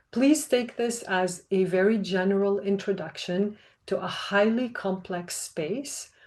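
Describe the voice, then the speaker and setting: A woman of medium pitch speaks at a fairly slow pace. Her intonation is fairly even and the background is quiet. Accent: non-native. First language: not English. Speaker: researcher. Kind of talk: panel talk. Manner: formal.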